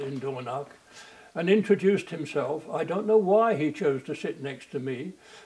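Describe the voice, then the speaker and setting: A man's high-pitched voice comes through amid noticeable background noise. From England, London. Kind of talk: interview. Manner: halting.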